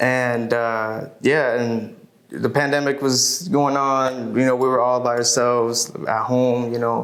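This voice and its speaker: A man's medium-pitched voice, monotone and flat, at a fairly slow pace with very even loudness, plus noticeable background noise and audible room echo. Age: 20s. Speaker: musician. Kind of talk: interview.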